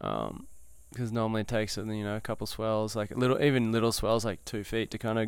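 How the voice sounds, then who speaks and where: A man's medium-pitched voice, flat and monotone, at a moderate pace in a very clean recording with a silent background. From New South Wales, Australia. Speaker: big wave surfer. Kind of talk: casual chat. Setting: outdoors on a veranda.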